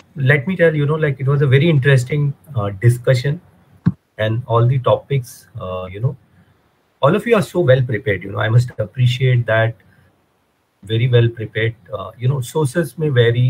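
With a somewhat breathy voice, this man moves at a fairly quick pace, his pitch varying in an ordinary way. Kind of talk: judge's feedback remarks. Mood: warm, appreciative. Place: home room. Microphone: video call.

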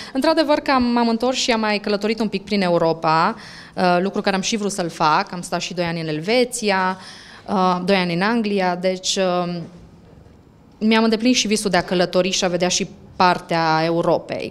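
Her pitch rises and falls in an ordinary way. This woman keeps a moderate pace. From Romania. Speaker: language center owner, author; interviewee. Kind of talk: interview. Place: shop. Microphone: handheld.

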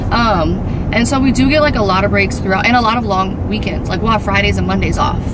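A woman talks at a very fast pace. Loud background noise surrounds her. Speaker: family vlogger. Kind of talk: casual vlog chat. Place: car. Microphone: phone near.

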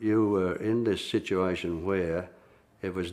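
A man with an Australian accent and a very deep, low pitch, at a moderate pace with ordinary pitch variation. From Melbourne, Australia. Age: 70s. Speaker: former union organiser. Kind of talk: interview answer. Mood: reflective, sombre. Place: studio. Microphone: lapel.

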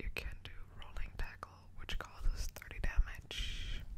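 The voice is whispering. It moves at a fairly slow pace. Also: woman. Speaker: Pokemon ASMR content creator. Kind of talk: ASMR card-opening, casual talk to camera. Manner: whispered, soft. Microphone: studio mic.

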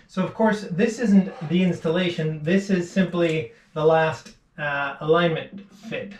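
A man talks at a fairly slow pace, his pitch fairly high for a man. The room echo is audible, and his intonation stays fairly even.

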